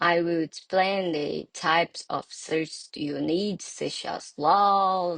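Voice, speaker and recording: A woman's fairly low voice with a Brazilian Portuguese accent at a very slow pace. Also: dry, close sound with no echo. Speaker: law workshop presenter. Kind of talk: recorded workshop lecture. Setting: pre-recorded session, not live. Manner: halting, non-native phrasing.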